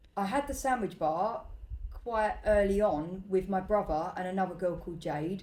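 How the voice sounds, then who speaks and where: A woman speaks at a medium pitch in a dark, mellow tone with ordinary pitch variation. Her pace is moderate, and room echo is audible. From East London (Bow, East End). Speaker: restaurant owner and entrepreneur. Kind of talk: casual interview chat. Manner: hesitant, many fillers.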